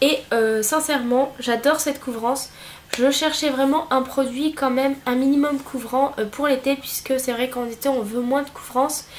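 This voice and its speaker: Noticeable background noise sits behind a woman with a high voice. She speaks at a moderate pace with monotone, flat intonation. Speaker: beauty vlogger. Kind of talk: product review. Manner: hesitant, many fillers.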